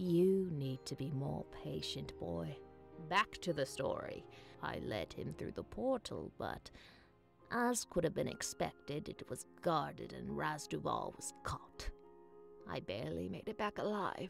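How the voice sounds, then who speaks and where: A put-on character voice at a fairly slow pace over clear music in the background. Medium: game stream. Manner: brusque, self-assured.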